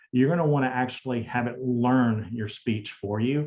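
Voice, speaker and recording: Speaking with a slight Southern US accent, a man holds a medium pitch and fairly even intonation. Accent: Southern US drawl, slight. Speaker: digital accessibility specialist. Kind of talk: conference Q&A.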